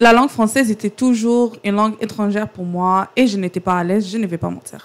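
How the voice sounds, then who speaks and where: With an Arabic accent, a woman talks at a fairly quick pace with medium pitch and fairly even intonation. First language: Arabic (speaking French). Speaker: podcast guest. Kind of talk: casual chat.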